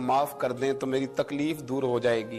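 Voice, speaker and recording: A man is speaking. Music plays in the background. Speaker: Islamic preacher giving a religious sermon. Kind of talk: emotional sermon storytelling.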